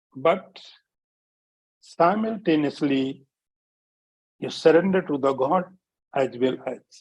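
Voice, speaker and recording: A man with an Indian accent, his fairly high voice at a very slow pace broken by long, frequent pauses. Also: ordinary pitch variation. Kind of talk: spiritual discourse. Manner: repetitive, emphatic teaching.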